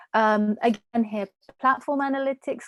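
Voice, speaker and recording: This woman has an ordinary speaking voice, fairly high in pitch, with fairly even intonation and a dry, close sound with no echo. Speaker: market researcher. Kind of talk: webinar presentation.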